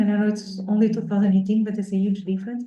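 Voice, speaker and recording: A woman speaks with a dark, mellow tone at a fairly high pitch, somewhat breathy. Audible room echo surrounds her voice. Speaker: researcher presenting at workshop. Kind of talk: academic talk with Q&A. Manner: fast; hesitant, many fillers.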